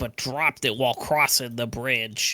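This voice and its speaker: A man's put-on character voice at medium pitch and moderate pace, in a very clean recording with a silent background. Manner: casual, chatty.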